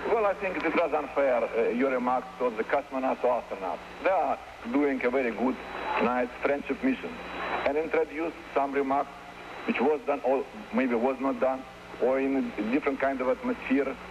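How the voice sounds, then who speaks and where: A man talks at a fairly quick pace, his pitch fairly high and its variation ordinary. His loudness stays very even, and noticeable background noise runs underneath. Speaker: Soviet ambassador answering press questions. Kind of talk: press conference answers. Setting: press conference. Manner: halting.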